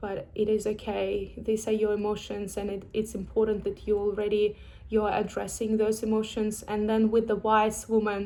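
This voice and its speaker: A woman with a non-native accent and a dark, mellow tone, in monotone, flat intonation at a moderate pace with hardly any pauses. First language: not English. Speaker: vlogger sharing personal experience. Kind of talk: personal vlog, reflective monologue. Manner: halting, with fillers and restarts.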